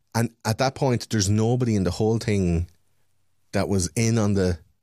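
An animated man speaks in a fairly low pitch with ordinary pitch variation. The sound is dry and close with no echo. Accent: Irish. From Ireland. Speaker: podcaster. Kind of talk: casual chat. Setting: video call.

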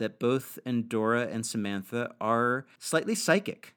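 With an ordinary speaking voice and an American accent, a man talks at a medium pitch and a fairly slow pace on a very clean recording with a silent background. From New York. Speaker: podcast co-host. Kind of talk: casual chat.

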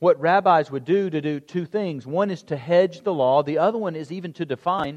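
An unremarkable speaking voice from a man, at a moderate pace with lively intonation. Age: 40s. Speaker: pastor. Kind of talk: sermon.

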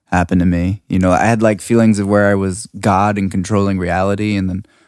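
A man with an American accent speaks very fast in a fairly low pitch with monotone, flat intonation. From US, Washington DC. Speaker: music producer and sound designer. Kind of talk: casual chat. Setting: studio.

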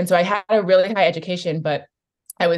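The speaker has a Californian accent. The pace is fairly quick. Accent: Californian American. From US West Coast (San Francisco Bay Area). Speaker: coach and activist. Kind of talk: interview conversation.

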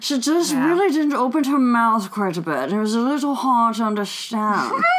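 With a put-on character voice, a female-sounding speaker mumbles at a moderate pace and a high pitch amid loud background noise. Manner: dry, barely opening mouth.

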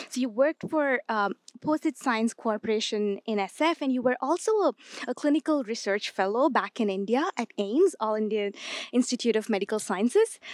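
A woman with a normal speaking voice talks at a fairly quick pace in a fairly high pitch, her intonation lively. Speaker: interviewer. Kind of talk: interview.

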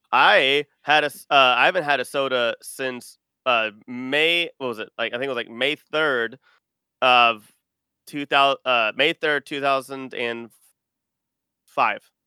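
A man with an American accent, medium-pitched, fairly even in intonation, at a fairly slow pace with long, frequent pauses. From Texas. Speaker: podcaster, geek culture site host. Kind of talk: casual chat.

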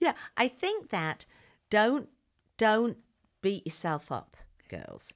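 Against a very clean recording with a silent background, a woman with an English accent speaks at a very slow pace in a fairly high pitch, with very wide pitch swings and long, frequent pauses. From England. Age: 60s. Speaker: ministry guest, teacher. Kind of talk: casual interview chat. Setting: studio.

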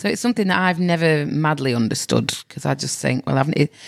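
A woman's voice with vocal fry, lively intonation and a fairly quick pace. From northern England, Manchester. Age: 40s. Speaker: comedian and nurse. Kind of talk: casual interview chat.

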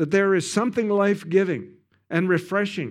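A man with a western Canadian accent speaks at a moderate pace and high pitch. The recording is very clean, with a silent background. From Canada. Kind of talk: sermon. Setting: church with congregation.

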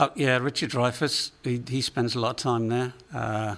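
A man talks at a moderate pace with monotone, flat intonation. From England. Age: 50s. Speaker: recording studio owner. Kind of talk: interview. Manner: halting, many repeated words.

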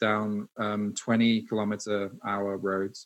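A man is speaking. He has a British accent. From UK. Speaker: internet pioneer and marketer. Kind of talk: casual interview. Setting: studio.

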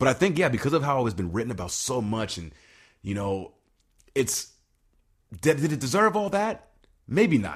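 A somewhat breathy man at a medium pitch speaks at a moderate pace with very wide pitch swings. He takes long, frequent pauses on a very clean recording with a silent background. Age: 30s. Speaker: podcast co-host. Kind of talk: casual chat.

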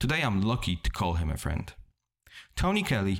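This man has a Polish accent. The recording is very clean, with a silent background. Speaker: podcast host. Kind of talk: scripted intro narration.

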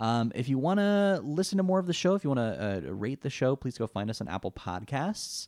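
A man with an American accent talks at a medium pitch, his pitch swinging very widely. He speaks with hardly any pauses. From California. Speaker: podcast co-host. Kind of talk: casual chat.

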